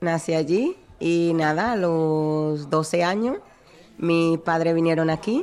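A woman speaks with a Dominican accent. Her pitch is very deep and low, with ordinary variation. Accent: Dominican accent noticeable. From Dominican Republic, Santo Domingo. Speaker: bar worker. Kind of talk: interview.

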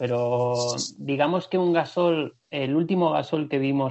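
Fairly high in pitch, a man speaks in an unremarkable speaking voice. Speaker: basketball podcast co-host. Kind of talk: casual chat.

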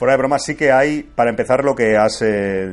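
Here a man talks at a fairly quick pace with ordinary pitch variation, in an ordinary speaking voice. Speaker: podcaster and video game fan. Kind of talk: casual chat.

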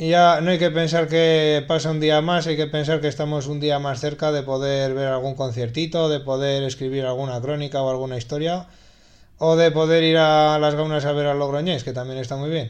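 A man's fairly high voice, monotone and flat, over a quiet background. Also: moderate pace. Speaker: radio host. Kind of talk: radio music show presentation.

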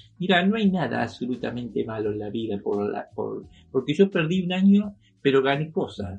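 Somewhat breathy and at a moderate pace, a man's voice moves through very wide pitch swings. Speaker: artist and retired museum worker. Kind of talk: interview. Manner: halting.

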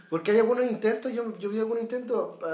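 With a Chilean accent, a man speaks at a very fast pace over noticeable background noise. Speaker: podcast host. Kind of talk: casual political discussion.

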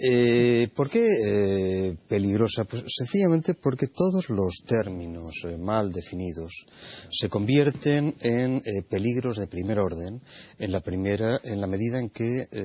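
Fairly slow and fairly low in pitch, a man speaks in a normal speaking voice with ordinary pitch variation. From Spain. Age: 60s. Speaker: philosophy professor, panelist. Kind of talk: panel discussion.

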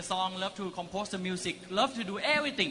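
Raising and projecting his voice, a man talks at a high pitch and a moderate pace amid noticeable background noise. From Thailand. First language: Thai (speaking Spanish). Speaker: network marketing business owner. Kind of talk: motivational talk. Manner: short phrases paused for interpreter; animated.

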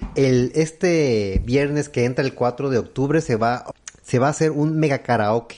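A man's dark, mellow voice rises and falls in an ordinary way over a quiet background. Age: 30s. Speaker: comedy podcast co-host. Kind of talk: casual chat.

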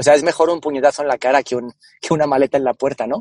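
A man with a Spanish accent speaks at a fairly high pitch, his pitch varying in an ordinary way, in a dry, close recording with no echo. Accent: Spanish (Spain). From Spain, Cáceres (Extremadura). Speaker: marketing and innovation executive. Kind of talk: interview. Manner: halting, repeats words.

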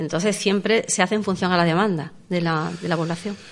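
A woman's normal speaking voice, fairly low in pitch, at a fairly quick pace with fairly even intonation. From Andalusia, Los Barrios. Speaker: seniors' centre director. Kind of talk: radio interview.

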